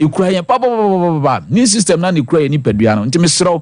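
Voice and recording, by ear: Speaking at a very fast pace, a man with a fairly high pitch and a slightly mellow tone makes big pitch swings.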